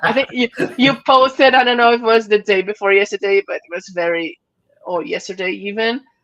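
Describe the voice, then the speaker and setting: Spoken with a Portuguese accent, the voice moves at a fairly quick pace with ordinary pitch variation. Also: woman, fairly high pitch for a woman, dry, close sound with no echo. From Brazil. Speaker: podcast host. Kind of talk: casual interview chat. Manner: halting.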